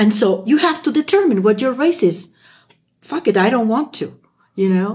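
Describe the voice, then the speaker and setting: Speaking at a moderate pace with a Spanish accent, a woman uses a fairly high pitch that swings very widely. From Chile. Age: 70s. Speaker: French teacher, host's mother. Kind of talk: casual chat.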